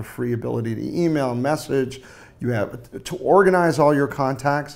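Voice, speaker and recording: A man with an American accent, moderate pace and ordinary pitch variation. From US West Coast. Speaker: startup co-founder; panelist. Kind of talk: roundtable interview. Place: office. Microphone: lapel.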